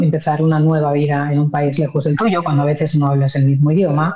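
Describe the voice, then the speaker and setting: Through noticeable background noise comes a woman's very deep, low voice. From Spain, Madrid. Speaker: journalist and news anchor. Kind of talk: interview. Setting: remote call.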